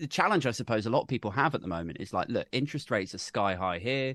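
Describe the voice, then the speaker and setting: Recorded with a dry, close sound with no echo and a quiet background, a man with a British accent talks very fast, using vocal fry and very wide pitch swings. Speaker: podcaster and political YouTuber. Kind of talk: casual chat.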